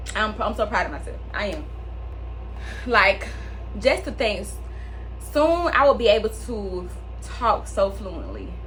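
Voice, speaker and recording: Woman at a fairly slow pace with long, frequent pauses and big swings in loudness, music in the background and audible room echo. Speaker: podcast host. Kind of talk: casual monologue.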